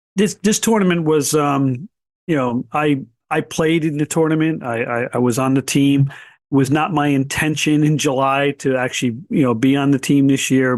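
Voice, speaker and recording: An unremarkable speaking voice with ordinary pitch variation comes through a dry, close sound with no echo against a quiet background. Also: man. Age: 60s. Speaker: blind baseball association president and player. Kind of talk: podcast interview.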